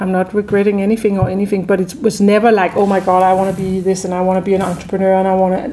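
A woman with a Danish accent talks at a very fast pace. Her voice has a medium pitch and a dark, mellow tone. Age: 50s. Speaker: chef and restaurant entrepreneur. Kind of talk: interview.

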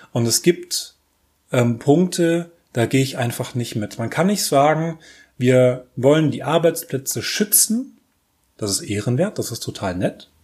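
Somewhat breathy, a man speaks at a fairly slow pace in a fairly high pitch, in a very clean recording with a silent background. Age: 30s. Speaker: podcast host. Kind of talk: solo commentary monologue. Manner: halting with many fillers.

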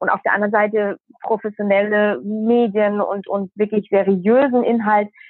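With a plain, everyday voice, a woman speaks at a fairly high pitch and a moderate pace. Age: 20s. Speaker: journalist. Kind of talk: interview.

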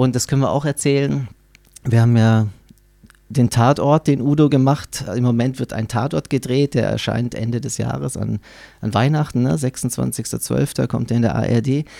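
Here a man talks at a moderate pace with medium pitch and ordinary pitch variation. His tone is dark and mellow. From Baden-Württemberg, Germany. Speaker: saxophonist and music project leader. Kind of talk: interview. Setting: studio.

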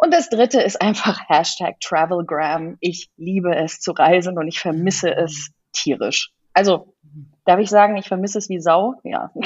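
Her medium-pitched voice shows ordinary pitch variation as this woman talks at a moderate pace. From Kenya. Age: 40s. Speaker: design agency owner. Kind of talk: interview. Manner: hesitant, many fillers.

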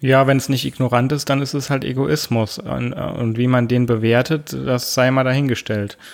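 A man talks at a moderate pace. He has an unremarkable speaking voice. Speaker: podcast co-host. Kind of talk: casual chat. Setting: home office. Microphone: studio microphone.

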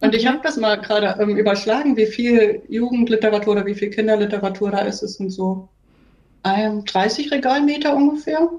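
In a normal speaking voice, a woman talks at a moderate pace and a fairly high pitch, with ordinary pitch variation. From Thuringia, Germany. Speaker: mobile library librarian. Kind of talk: casual interview.

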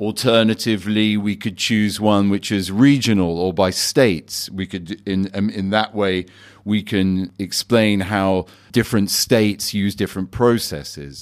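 In a very clean recording with a silent background, a man speaks in an ordinary speaking voice. His pitch is fairly low, his intonation fairly even, and his pace fairly slow. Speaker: bar owner host of tasting. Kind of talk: casual guided tasting. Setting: basement bar.

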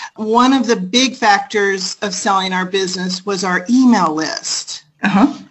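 A woman with an unremarkable speaking voice and an American accent talks at a fairly slow pace and medium pitch, with ordinary pitch variation and hardly any pauses. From United States. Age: 40s. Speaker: business owner and online course creator. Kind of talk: interview.

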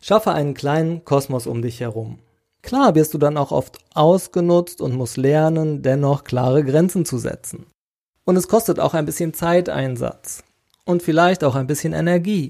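With ordinary pitch variation and a moderate pace, this man talks in a normal speaking voice. He has a fairly high pitch. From Sauerland, Westphalia, Germany. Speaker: podcast host. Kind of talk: solo podcast monologue. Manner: casual, conversational.

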